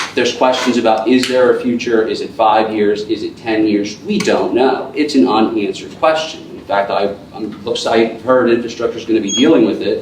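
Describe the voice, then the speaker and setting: Speaking at a moderate pace with hardly any pauses, a man is heard with audible room echo and noticeable background noise. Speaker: borough council member. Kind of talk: council meeting debate. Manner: halting.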